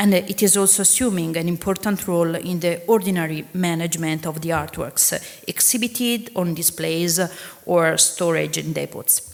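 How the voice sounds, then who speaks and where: A woman with an Italian accent speaks at a moderate pace in a fairly low pitch, her pitch moving in an ordinary way over noticeable background noise. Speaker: museum registrar. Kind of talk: conference talk. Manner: halting.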